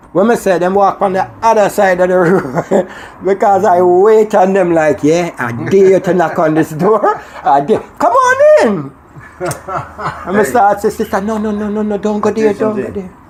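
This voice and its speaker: Moderately paced speech in a Jamaican accent, with noticeable background noise. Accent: Jamaican patois. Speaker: Rastafarian talking about religion and spirituality. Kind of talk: casual conversation on radio show.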